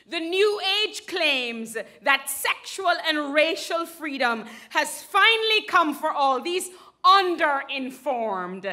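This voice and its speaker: A woman's raised, projected voice, high and bright and sharp, with very wide pitch swings at a very slow pace over a quiet background. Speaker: spoken word poet. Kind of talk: spoken word poetry performance to a live audience. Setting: live theater stage. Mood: angry, impassioned. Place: stage.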